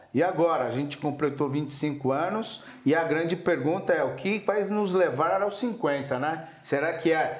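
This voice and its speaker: Speaking at a fairly slow pace, a man with a fairly high pitch shows ordinary pitch variation, with noticeable background noise and audible room echo. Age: 50s. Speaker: entrepreneur. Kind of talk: interview. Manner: casual.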